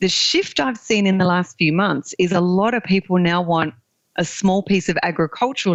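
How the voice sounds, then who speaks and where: A woman with an Australian accent speaks at a moderate pace. Her pitch is fairly low. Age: 40s. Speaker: land investor. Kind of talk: podcast interview.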